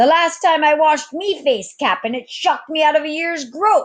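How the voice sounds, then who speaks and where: A woman's put-on character voice, high in pitch. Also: moderate pace. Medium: read story. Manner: laughing.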